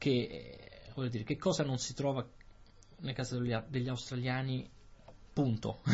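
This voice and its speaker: A man speaks at a fairly slow pace, with long, frequent pauses. His voice is medium in pitch and somewhat breathy. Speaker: Italian language podcast host. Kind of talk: casual conversation for language learners.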